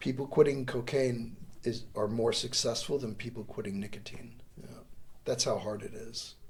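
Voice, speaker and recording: Somewhat breathy, a man speaks at a moderate pace with fairly even intonation in a room with audible echo. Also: medium pitch for a man. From US Northeast, New York State and Connecticut. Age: 60s. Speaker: volunteer and lawyer, democracy course teacher. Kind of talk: casual interview chat.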